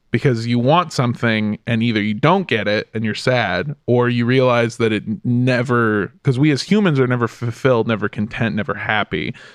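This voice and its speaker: Over a quiet background, a man with a medium pitch talks at a moderate pace with ordinary pitch variation and hardly any pauses. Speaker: comedian. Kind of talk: casual chat. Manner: animated.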